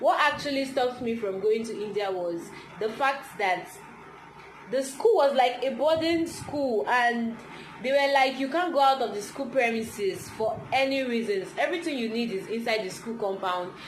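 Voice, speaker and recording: A woman's high-pitched voice with lively intonation at a moderate pace, amid audible room echo and noticeable background noise. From Nigeria. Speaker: vlogger. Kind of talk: casual chat.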